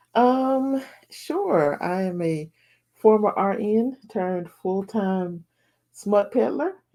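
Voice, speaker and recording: A woman with a Southern US accent speaks at a very slow pace in a medium pitch. Her tone is dark and mellow, and her intonation lively. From US South. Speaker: romance author. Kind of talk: interview.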